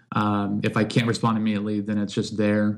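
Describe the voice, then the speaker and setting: A man with an American accent speaks in a fairly low pitch. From US Midwest, St. Louis. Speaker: developer advocate. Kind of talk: casual chat.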